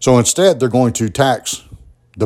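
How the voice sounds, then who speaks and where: This is a man with a Southern US accent. He speaks at a moderate pace. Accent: Southern US (Georgia). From US South, southwest Georgia (Albany). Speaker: podcast host. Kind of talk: solo political commentary monologue. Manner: conversational, with frequent fillers and repetitions.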